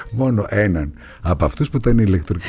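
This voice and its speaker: Over music in the background, the voice races at a very fast pace with an animated tone and very wide pitch swings. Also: man. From Greece, Thessaloniki (Pontic Greek roots). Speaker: actor. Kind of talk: interview.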